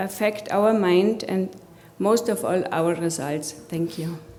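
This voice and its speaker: The speaker has a German accent and talks at a fairly slow pace. Noticeable background noise and audible room echo surround the voice. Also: woman. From Germany. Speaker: coach and healthcare executive. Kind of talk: conference presentation.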